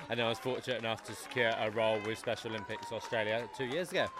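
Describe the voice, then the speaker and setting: A man talks at a very fast pace in a medium pitch. Noticeable background noise runs underneath. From UK. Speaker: sports development officer. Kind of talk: interview.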